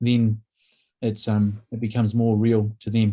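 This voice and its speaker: A man with a New Zealand accent talks at a fairly slow pace. His tone is dark and mellow, and his pitch sits in the medium range. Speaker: workshop presenter, counsellor. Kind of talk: workshop presentation.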